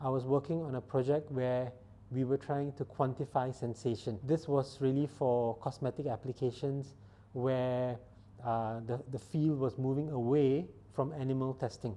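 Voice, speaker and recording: Speaking at a moderate pace, a man with a non-native accent has a dark, mellow tone, a medium pitch and fairly even intonation. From Singapore. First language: not English. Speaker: startup founder and scientist. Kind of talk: interview monologue. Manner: halting.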